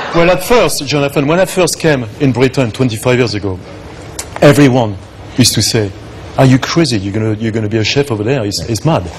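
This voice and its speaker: A man with a French accent talks very fast at a medium pitch. His intonation is lively, and there is noticeable background noise. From northern France, Arras. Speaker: chef. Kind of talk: chat show interview. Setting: studio with audience. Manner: halting.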